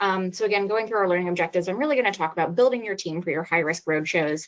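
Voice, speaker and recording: A woman talks at a very fast pace in an American accent. Her pitch varies in an ordinary way. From New Jersey. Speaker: pediatric pulmonologist. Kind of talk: webinar lecture.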